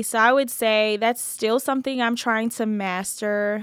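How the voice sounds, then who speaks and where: A woman with an American accent uses a normal speaking voice at a moderate pace and fairly even intonation, in a very clean recording with a silent background. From New Jersey. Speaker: creative agency founder. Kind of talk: interview.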